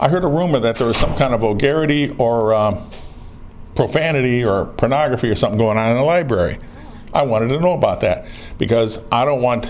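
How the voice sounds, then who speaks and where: A man with an American accent and ordinary pitch variation, his loudness very even, amid noticeable background noise and audible room echo. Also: medium pitch for a man, fairly quick pace. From northern US. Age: 60s. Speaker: citizen activist filming officials. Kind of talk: confrontational conversation. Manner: brash.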